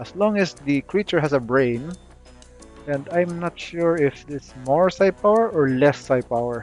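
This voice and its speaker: Over music in the background, a man speaks at a fairly slow pace with a fairly high pitch and lively intonation. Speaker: video game guide creator. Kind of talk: casual game tutorial commentary. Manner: hesitant, many filler words.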